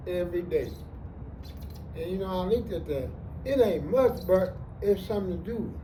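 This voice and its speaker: A man at a moderate pace, with audible room echo. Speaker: homeless man. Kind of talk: interview. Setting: outdoors in a park. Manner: slurred speech; halting, stammering repetitions.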